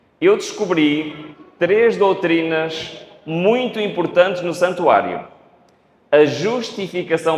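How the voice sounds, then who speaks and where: Audible room echo carries a man's high-pitched voice as he speaks with lively intonation. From Portugal. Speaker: preacher. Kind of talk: sermon. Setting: church. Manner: speeds up when excited.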